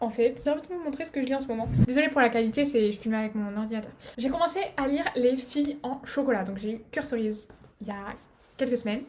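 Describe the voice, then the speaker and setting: A woman talks at a very fast pace with a high pitch and ordinary pitch variation. Noticeable background noise runs behind her. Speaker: vlogger. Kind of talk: casual vlog outro. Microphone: laptop camera recording.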